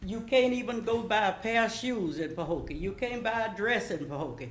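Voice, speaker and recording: A woman speaks at a moderate pace in a fairly high pitch with lively intonation and some vocal fry. Audible room echo surrounds her voice. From US South, Florida. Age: 80s+. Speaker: public commenter. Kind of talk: public comment at city meeting. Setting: city commission meeting.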